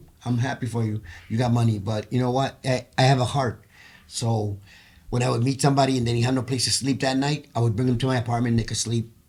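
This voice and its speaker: Somewhat breathy talk at a very fast pace, its intonation monotone and flat. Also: man, medium pitch for a man. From Puerto Rico. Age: 60s. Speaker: choir member, former case manager. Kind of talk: podcast interview, personal testimony.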